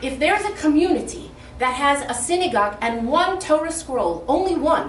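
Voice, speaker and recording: Very wide pitch swings from a woman, with audible room echo. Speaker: rebbetzin and lecturer. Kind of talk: speech at an inauguration event.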